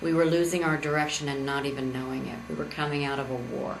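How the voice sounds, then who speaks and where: Audible room echo and noticeable background noise surround a woman whose voice is very deep and low in pitch. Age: 60s. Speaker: political candidate. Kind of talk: campaign speech. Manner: halting.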